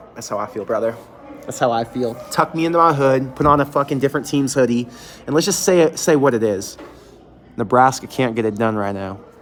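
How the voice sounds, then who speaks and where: A man talks at a fairly quick pace in an animated tone, medium in pitch with ordinary pitch variation. Noticeable background noise sits behind him. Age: 30s. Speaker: sports fan show host. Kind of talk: live stream reaction. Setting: closed restaurant. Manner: casual, animated.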